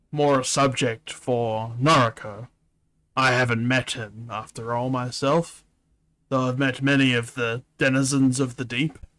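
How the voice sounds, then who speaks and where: Using a put-on character voice, a man speaks at a medium pitch and a moderate pace with monotone, flat intonation. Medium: virtual streamer. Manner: soft-spoken and humble.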